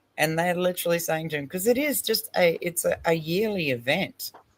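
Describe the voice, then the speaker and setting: Speaking with an Australian accent, a woman talks at a fairly low pitch. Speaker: online stream panel host. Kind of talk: casual chat reacting to a video. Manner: animated.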